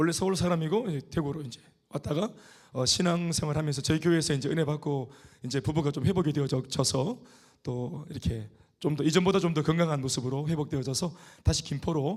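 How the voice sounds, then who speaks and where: This man talks at a very fast pace in a fairly high, somewhat breathy voice with ordinary pitch variation. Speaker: pastor. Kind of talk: sermon. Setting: church.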